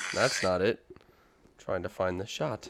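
Moderately paced male speech amid clearly audible background noise. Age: 20s. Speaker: podcast co-host. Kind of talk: casual chat. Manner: high-energy.

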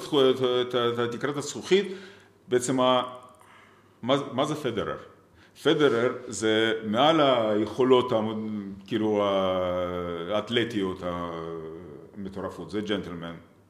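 A man with a Russian accent speaks at a medium pitch and a very slow pace, with lively intonation. Long, frequent pauses break up his speech, and the room echo is audible. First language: Russian (speaking Hebrew). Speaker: tech entrepreneur. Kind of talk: interview.

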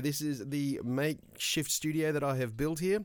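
The speaker talks at a fairly quick pace in an Australian accent. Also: man. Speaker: podcast host. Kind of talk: casual solo monologue.

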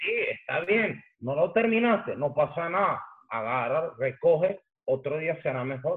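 Talking at a fairly slow pace in a Caracas Venezuelan accent, a man uses a high pitch and lively intonation. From Venezuela, Caracas. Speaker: graffiti artist and hip hop pioneer. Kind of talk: casual chat.

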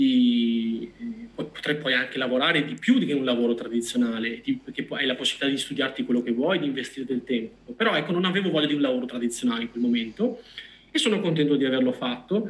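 Through noticeable background noise, a man speaks very fast at a medium pitch, his intonation lively. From Veneto, Vicenza. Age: 30s. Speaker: data scientist. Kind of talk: interview.

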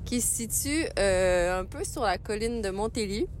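A woman's voice carries audible room echo. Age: 30s. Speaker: resident sharing a favourite place. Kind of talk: recorded voice message. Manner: hesitant, many fillers.

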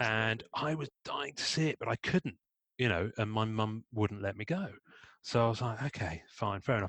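The speaker has an English accent and lively intonation at a moderate pace. The sound is dry and close with no echo, against a quiet background. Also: man. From Devon, rural England. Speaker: podcast host. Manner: chatty, jokey.

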